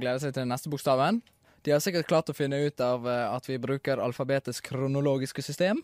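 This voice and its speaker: Music sits in the background as a man speaks at a fairly quick pace. His pitch is fairly high with ordinary variation, and the sound is dry and close with no echo. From Bergen, Norway. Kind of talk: radio show banter.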